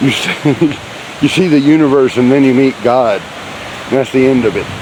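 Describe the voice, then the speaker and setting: An American accent comes through at a moderate pace. There is noticeable background noise. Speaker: hiking vlogger. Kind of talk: casual trail vlog narration. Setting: outdoors on a hiking trail. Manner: speaking a little loudly.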